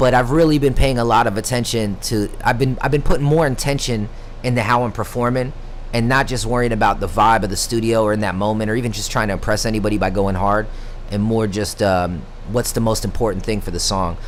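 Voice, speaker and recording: Audible room echo and noticeable background noise surround this recording. A man speaks very fast at medium pitch with ordinary variation. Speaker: horrorcore rapper streaming. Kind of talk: live stream casual chat. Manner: talkative.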